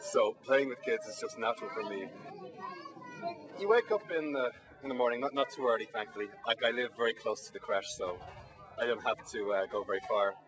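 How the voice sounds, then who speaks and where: Speaking at a fairly quick pace with long, frequent pauses, a man with a Dublin accent is heard over noticeable background noise. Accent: Irish (Dublin). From Ireland, Dublin. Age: 20s. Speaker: volunteer. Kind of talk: interview testimony. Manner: hesitant, many fillers.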